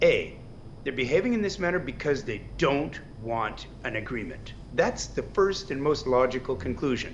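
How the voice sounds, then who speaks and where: A man at a moderate pace, with audible room echo. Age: 60s. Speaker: political analyst. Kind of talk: news interview.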